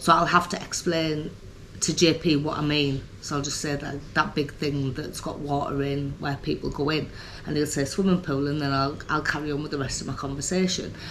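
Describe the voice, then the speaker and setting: A woman with a very deep, low voice speaks at a moderate pace in a flat monotone. Room echo is audible. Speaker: vlogger. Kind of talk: personal vlog talk. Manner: hesitant, many ums.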